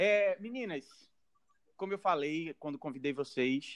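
The recording sounds dry and close, without any echo. A man talks fairly slowly. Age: 20s. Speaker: podcast host. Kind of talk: casual chat.

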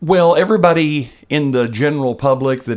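A man has a normal speaking voice with lively intonation. His pace is fairly slow. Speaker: podcast co-host. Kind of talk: casual podcast banter about music. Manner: jokey, laughs often.

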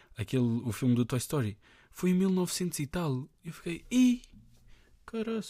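A man speaks at a moderate pace in a high, dark, mellow voice with very wide pitch swings. His long pauses come often. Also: very clean recording, silent background. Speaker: podcaster. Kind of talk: casual monologue. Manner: halting.

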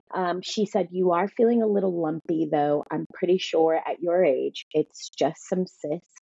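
A woman with a plain, everyday voice and a fairly low pitch speaks at a fairly slow pace with ordinary pitch variation and hardly any pauses. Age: 30s. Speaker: fitness trainer and cancer survivor. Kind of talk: testimony.

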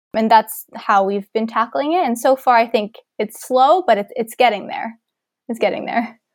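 A woman with a Canadian accent speaks at a moderate pace in a plain, everyday voice, fairly high in pitch with lively intonation, in a dry, close sound with no echo. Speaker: university student and volunteer coordinator. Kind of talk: interview.

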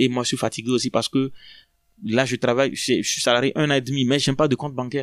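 In a very clean recording with a silent background and a dry, close sound with no echo, a man of medium pitch talks very fast in a monotone, flat way. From Togo, Lomé. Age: 30s. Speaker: asylum seeker. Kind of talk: testimony. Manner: halting.

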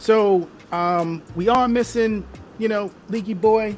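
A man's voice shows ordinary pitch variation while music plays behind him. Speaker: show host. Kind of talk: casual panel discussion. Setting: online livestream.

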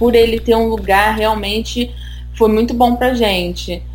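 Noticeable background noise and audible room echo accompany a woman who talks at a fairly slow pace. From Brazil, Rio de Janeiro. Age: 20s. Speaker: immigrant on work permit. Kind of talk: casual interview chat.

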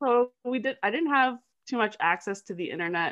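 A woman with a Canadian accent and a plain, everyday voice speaks at a moderate pace with ordinary pitch variation. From Canada, small town. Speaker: digital marketer and anti-trafficking advocate. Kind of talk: interview conversation.

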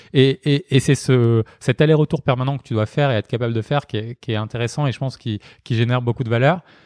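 A man's medium-pitched voice at a very fast pace, fairly even in intonation, with a dry, close sound and no echo. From Marseille, southern France. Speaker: startup founder. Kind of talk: interview conversation. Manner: hesitant, many fillers and repetitions.

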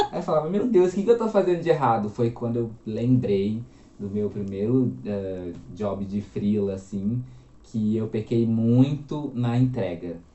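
The man's intonation is lively, his pitch medium, and his delivery fairly slow. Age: 20s. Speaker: copywriter and journalist. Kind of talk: casual interview chat.

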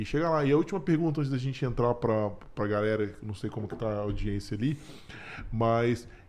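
A man talks at a very fast pace, with ordinary pitch variation. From Brasília, Brazil. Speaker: podcast host. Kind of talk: casual interview.

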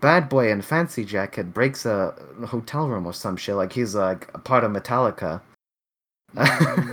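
His intonation lively, a man speaks in an ordinary speaking voice at medium pitch and moderate pace. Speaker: podcast host. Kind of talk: casual banter. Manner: casual, profane.

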